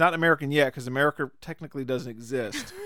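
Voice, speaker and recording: Very fast and fairly high-pitched, a man speaks with ordinary pitch variation in a dry, close sound with no echo. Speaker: podcast host. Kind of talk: casual chat. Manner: jokey, laughs often.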